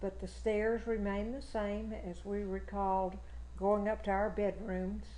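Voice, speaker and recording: A woman with a Texan accent at a fairly slow pace, with audible room echo. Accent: Texan Southern. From Texas, Fort Bend County. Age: 80s+. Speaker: local history interviewee. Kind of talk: oral history interview.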